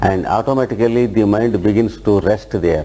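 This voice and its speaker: Over noticeable background noise, a man speaks in a calm tone. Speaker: yoga teacher. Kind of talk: guided meditation and lecture. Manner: slow, calm, instructive.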